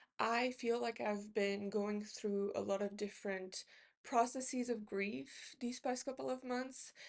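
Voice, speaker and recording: Against a quiet background, a woman with a non-native accent speaks fairly slowly, her fairly high pitch showing ordinary variation. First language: not English. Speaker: book YouTuber. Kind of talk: casual book haul talk. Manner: halting, many fillers.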